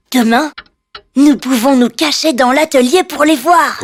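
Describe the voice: In a cartoonish character voice, a man speaks at a fairly slow pace with an extremely high pitch.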